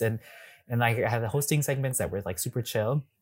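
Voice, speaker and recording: A man with a US Midwestern accent talks at a fairly quick pace, somewhat breathy, with medium pitch and ordinary pitch variation. The recording is very clean with a silent background. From Wisconsin, US Midwest. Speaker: drag performer and YouTuber. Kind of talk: casual interview.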